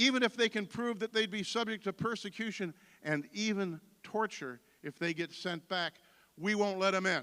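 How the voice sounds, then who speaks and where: A man with an American accent projects a raised voice with a bright, sharp tone and high pitch. He keeps a moderate pace and ordinary pitch variation, in a dry, close sound with no echo. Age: 60s. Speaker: political candidate. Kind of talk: campaign speech. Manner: animated.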